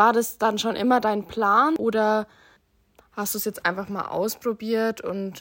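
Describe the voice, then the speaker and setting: A woman's plain, everyday voice at a medium pitch and fairly slow pace, in a very clean recording with a silent background. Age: 20s. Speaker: social work student. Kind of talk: interview.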